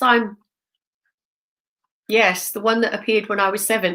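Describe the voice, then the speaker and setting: At a moderate pace, the speaker uses a bright, sharp tone and a British accent. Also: woman. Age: 60s. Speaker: spiritual medium and teacher. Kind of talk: casual chat.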